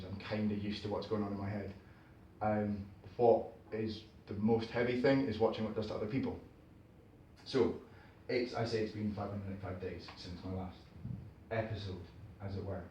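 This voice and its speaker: A man with a fairly low pitch and a dark, mellow tone speaks at a fairly quick pace, somewhat breathy. His intonation is monotone and flat, broken by long, frequent pauses. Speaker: performance poet. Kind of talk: live spoken word performance. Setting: live venue, performing for an audience. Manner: conversational, wry, reflective.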